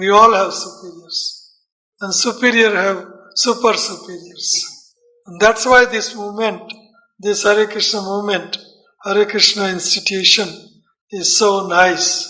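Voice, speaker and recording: A man speaks in a raised, projected voice at a high pitch, fairly slowly and in a flat monotone, with audible room echo. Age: 60s. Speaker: Hare Krishna preacher. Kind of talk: lecture.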